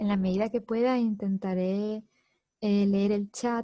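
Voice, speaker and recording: Speaking in a Spanish accent, a woman uses a medium pitch, a dark, mellow tone and a somewhat breathy voice, with monotone, flat intonation at a fairly slow pace. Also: dry, close sound with no echo. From southern Spain, Andalusia. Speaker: psychology course instructor. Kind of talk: online lecture.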